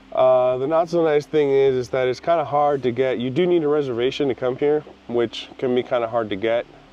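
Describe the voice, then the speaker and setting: With noticeable background noise behind him, a man of medium pitch talks at a fairly quick pace with fairly even intonation and hardly any pauses. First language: not English. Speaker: photography vlogger. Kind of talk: casual vlog. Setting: outdoors.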